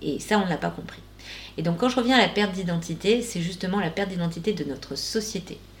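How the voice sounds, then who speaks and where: Distinct background noise is present. The talking goes very fast. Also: woman, medium pitch for a woman, ordinary pitch variation. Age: 40s. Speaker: shaman, life coach and podcast host. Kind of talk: casual interview chat.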